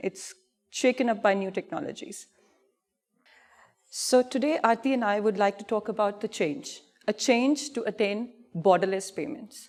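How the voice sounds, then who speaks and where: A woman with an Indian accent speaks at a moderate pace. Her pitch is fairly high, with ordinary pitch variation. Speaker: payments industry expert presenting. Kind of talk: conference presentation. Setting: stage with audience. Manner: animated.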